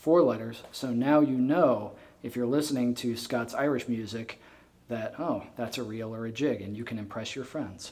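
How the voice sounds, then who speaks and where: With an American accent, a man talks at a moderate pace in a medium pitch with ordinary pitch variation, and audible room echo surrounds him. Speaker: fiddler and presenter. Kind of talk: lecture.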